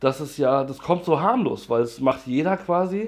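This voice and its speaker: With an unremarkable speaking voice, a man talks at a moderate pace in a fairly high pitch with ordinary pitch variation. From Hesse, near Frankfurt am Main. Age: 30s. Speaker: interviewee on drug use. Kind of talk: casual interview.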